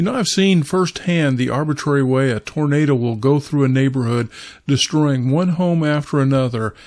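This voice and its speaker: An ordinary speaking voice with an American accent moves at a moderate pace and ordinary pitch variation against a quiet background. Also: man. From Kansas, US Midwest. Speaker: pastor. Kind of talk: devotional talk.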